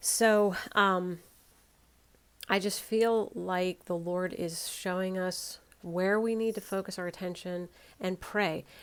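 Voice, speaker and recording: A woman at a medium pitch speaks very slowly with monotone, flat intonation in a very clean recording with a silent background. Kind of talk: casual talk to camera, sermon-like warning.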